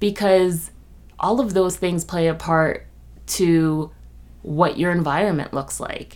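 A woman's fairly low voice at a very slow pace. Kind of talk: guided meditation. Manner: slow, soft, calming, with gentle pauses.

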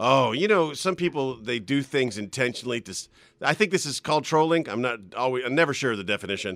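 At a very fast pace, a man speaks at medium pitch with lively intonation in a very clean recording with a silent background. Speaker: radio host. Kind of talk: casual banter, morning radio show. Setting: studio with headphones. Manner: loud, overcompensates because hard of hearing.

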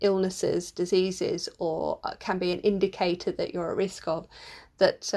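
Against a quiet background, a woman talks with an Australian accent. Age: 40s. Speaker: podcast host, wellness business founder. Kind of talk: solo podcast talk. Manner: hesitant, many fillers.

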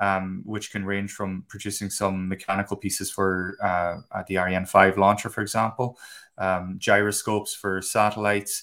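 In a very clean recording with a silent background, a man with a Donegal accent talks at a moderate pace in a fairly low, monotone, flat voice with a bright, sharp tone. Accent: Irish, Donegal. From Ireland, County Donegal. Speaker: space industry physicist and product manager. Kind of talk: casual interview.

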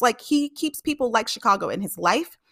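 A woman's animated, raised and projected voice with a bright, sharp tone. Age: 20s. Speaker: podcast host. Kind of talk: casual chat.

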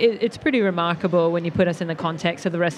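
Noticeable background noise sits behind a woman with a fairly low pitch. She talks at a very fast pace. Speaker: reptile educator.

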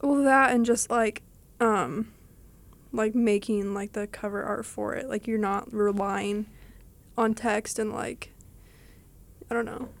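Using a fairly high pitch and fairly even intonation, a woman speaks at a fairly slow pace with long, frequent pauses. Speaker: art student. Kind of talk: casual chat.

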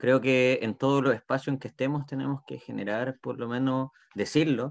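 The delivery is fairly quick, with monotone, flat intonation. The sound is dry and close, with no echo. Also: man. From southern Chile, Puerto Montt. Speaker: teacher and community activist. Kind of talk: panel discussion. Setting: video call. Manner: halting, repeats words.

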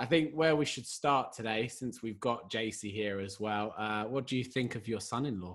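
In a very clean recording with a silent background, a man uses a normal speaking voice at a medium pitch, with ordinary pitch variation and a moderate pace. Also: hardly any pauses. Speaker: podcast host. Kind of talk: casual chat. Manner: joking, relaxed.

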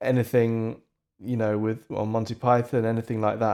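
With a northern English accent, a man speaks fairly quickly at a medium pitch, his dark, mellow tone held in a monotone, flat intonation. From northern England. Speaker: composer. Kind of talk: interview.

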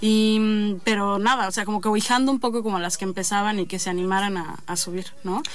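With hardly any pauses, a woman at medium pitch talks at a fairly quick pace and fairly even intonation, amid audible room echo and noticeable background noise. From Mexico City. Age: 20s. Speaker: poet. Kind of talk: interview.

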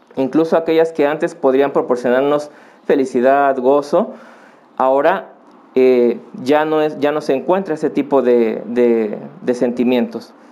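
This man speaks with a Mexican accent at a fairly high pitch and a fairly slow pace. His loudness stays very even, and his pitch variation is ordinary. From Mexico, Acapulco (Guerrero). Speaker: psychologist and family counselor. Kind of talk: podcast interview. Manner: halting, frequent fillers.

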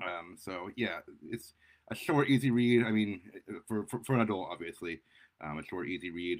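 A man at a fairly low pitch, moderate pace and ordinary pitch variation. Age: 30s. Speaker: writing podcast host. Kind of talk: book review monologue. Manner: halting, many fillers and repeated words.

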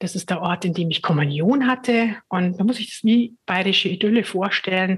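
A woman speaks at a moderate pace with hardly any pauses. Her voice is somewhat breathy, with ordinary pitch variation. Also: medium pitch for a woman. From Upper Bavaria, Germany. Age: 50s. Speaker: communications consultant. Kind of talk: interview. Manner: hesitant, many fillers.

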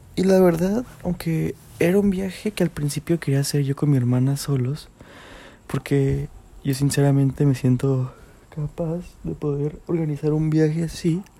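A man with a fairly high, somewhat breathy voice and a dark, mellow tone talks at a moderate pace with ordinary pitch variation. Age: 20s. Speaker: podcaster. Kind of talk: personal monologue. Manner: halting, many repetitions.

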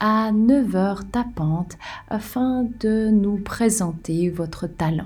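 A woman's calm, warm tone at a very slow pace, with ordinary pitch variation and music in the background. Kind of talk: hypnotic bedtime storytelling for children, narrated tale. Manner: slow, soothing, gently paced with pauses and suspense; calm, warm, intimate, speaking directly to the child.

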